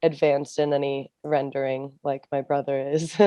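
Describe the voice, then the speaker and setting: In an American accent, a woman with a very deep, low pitch speaks in a monotone, flat intonation, the sound dry and close with no echo. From California, San Diego. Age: 20s. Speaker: film director and student. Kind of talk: podcast interview.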